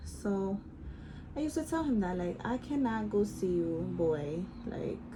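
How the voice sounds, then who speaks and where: A woman speaks with an American accent at a fairly slow pace. Audible room echo surrounds her voice. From Bronx, New York. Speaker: beauty vlogger. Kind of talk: casual storytime while doing makeup. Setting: at home. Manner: chatty, casual.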